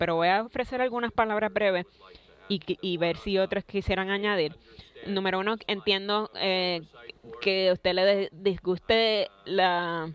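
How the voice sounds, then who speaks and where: The speech moves at a fairly slow pace, and the sound is dry with no echo. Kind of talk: formal public response at hearing. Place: hall. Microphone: podium.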